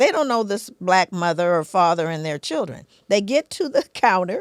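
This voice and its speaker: A woman with an American accent speaks at a moderate pace, using vocal fry and very wide pitch swings. The sound is dry and close with no echo, in a very clean recording with a silent background. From US West Coast, South Central Los Angeles. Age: 60s. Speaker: psychologist and author. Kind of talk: podcast interview. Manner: animated.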